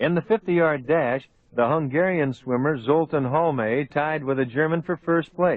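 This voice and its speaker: This man has an unremarkable speaking voice, fairly high in pitch with ordinary variation. He talks at a moderate pace. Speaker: old time radio host / narrator. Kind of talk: old time radio documentary narration. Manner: clear, storytelling, measured.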